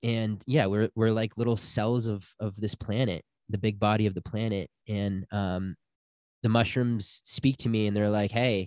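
A man with a plain, everyday voice speaks at a moderate pace with fairly even intonation. The recording is very clean with a silent background, and the sound is dry and close with no echo. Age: 30s. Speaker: spiritual healer and retreat guide. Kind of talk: casual interview.

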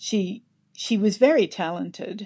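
A woman with an Australian accent speaks with ordinary pitch variation against a quiet background. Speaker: novelist. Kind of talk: interview. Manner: halting.

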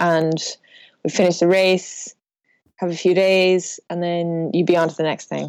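A fairly low-pitched woman with a western Irish accent, flat and monotone, at a fairly slow pace with long, frequent pauses, on a very clean recording against a silent background. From west of Ireland. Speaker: professional sailor. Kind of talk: casual interview.

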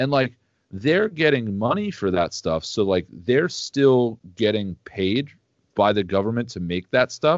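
Lively intonation and a fairly slow pace in a plain, everyday voice. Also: man, medium pitch for a man. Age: 30s. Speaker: metal band guitarist. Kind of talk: casual chat.

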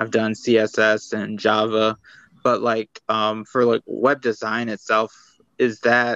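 In an American accent, the speaker talks in a flat monotone, the sound dry and close with no echo. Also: man. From Michigan, US. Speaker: beginner web designer. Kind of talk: coaching session. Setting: video call. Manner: hesitant, many fillers.

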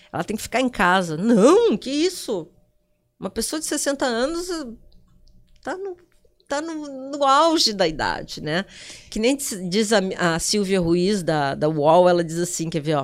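A woman speaks at medium pitch and a fairly slow pace, with long, frequent pauses. Her pitch swings very widely. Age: 60s. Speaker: digital influencer. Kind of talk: casual interview. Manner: animated.

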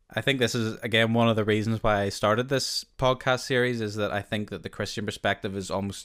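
A man with a Northern Irish accent talks at a fairly quick pace in a medium pitch. His intonation is monotone and flat, and the recording is very clean with a silent background. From Northern Ireland. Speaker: podcast host. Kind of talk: casual interview.

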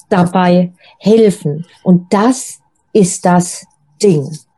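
Somewhat breathy and dark, mellow in tone, a woman's voice sits in a dry, close recording with no echo. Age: 50s. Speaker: single coach. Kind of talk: interview.

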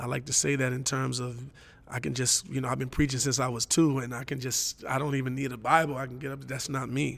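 A man with an American accent talks at a very fast pace and medium pitch, with vocal fry and monotone, flat intonation. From Los Angeles. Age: 40s. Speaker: pastor and drummer. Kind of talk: interview conversation. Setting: church.

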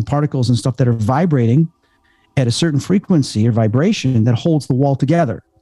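A man's fairly high, dark, mellow voice with an American accent, fairly quick pace and ordinary pitch variation, in a dry, close sound with no echo. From Chicago, US Midwest. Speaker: paranormal investigator and medium. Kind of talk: casual interview chat.

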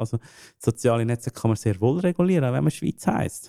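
Medium-pitched male speech in a Swiss accent, dark and mellow in tone, with lively intonation, a dry, close sound with no echo, and a very clean recording over a silent background. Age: 30s. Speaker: game studio founder. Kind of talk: interview. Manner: halting, many fillers.

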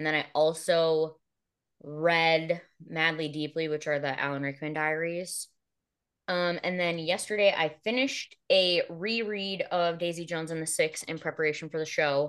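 Against a quiet background, a woman with an unremarkable speaking voice and fairly low pitch talks at a moderate pace. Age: 30s. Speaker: podcast host and author. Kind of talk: casual chat.

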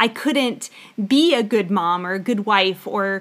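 This is a woman with a plain, everyday voice. The recording is very clean, with a silent background. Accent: American. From US South, Florida Panhandle. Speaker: podcast co-host, homeschooling mother and former teacher. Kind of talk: casual Bible-teaching podcast chat.

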